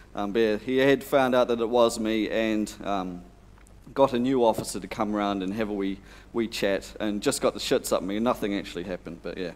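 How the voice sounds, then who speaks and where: A man with an unremarkable speaking voice, at a fairly quick pace with fairly even intonation. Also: fairly low pitch for a man. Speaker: conference presenter. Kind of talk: conference talk with anecdote. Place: hall.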